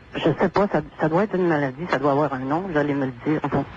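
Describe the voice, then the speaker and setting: The voice moves at a moderate pace with ordinary pitch variation. Noticeable background noise sits behind it. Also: woman. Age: 60s. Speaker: caller. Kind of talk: call-in radio conversation.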